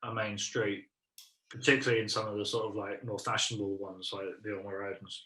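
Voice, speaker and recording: A man with an English accent and a bright, sharp tone speaks at a fairly quick pace. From South London, England. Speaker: improv comedian. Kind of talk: casual chat. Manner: halting, many fillers.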